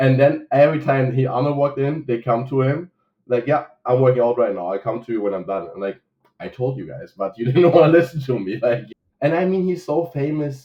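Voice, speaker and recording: With a German accent, a man talks at a fairly quick pace. His medium-pitched voice has lively intonation. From Germany. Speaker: coffee shop owner. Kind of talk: casual interview chat.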